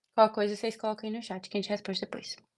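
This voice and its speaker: A woman at a very fast pace, medium in pitch. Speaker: medical student tutor. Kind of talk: online tutoring session.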